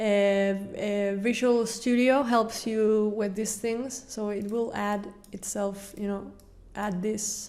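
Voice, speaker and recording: Speaking with a non-native accent, a woman uses a medium pitch and a monotone, flat intonation at a very slow pace. Audible room echo surrounds her. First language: not English. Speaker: game developer. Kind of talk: tutorial. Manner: halting.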